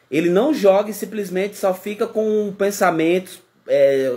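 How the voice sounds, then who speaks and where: Here a man talks at a high pitch. His pace is moderate. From Brazil, Pernambuco. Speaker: YouTuber, reality show commentator. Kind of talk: casual vlog commentary. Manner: animated.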